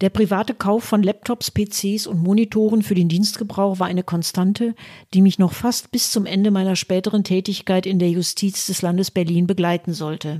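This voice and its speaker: This woman has a medium pitch and a dark, mellow tone, with fairly even intonation. She talks at a moderate pace in a dry, close sound with no echo. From Westphalia, Germany (Münster). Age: 60s. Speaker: podcaster, retired lawyer and party member. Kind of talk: scripted narration. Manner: formal.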